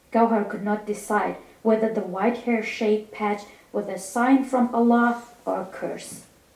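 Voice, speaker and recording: A woman's flat, monotone speech at a fairly slow pace over noticeable background noise. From Iraqi Kurdistan. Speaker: novelist. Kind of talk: reading aloud. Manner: halting, with self-corrections.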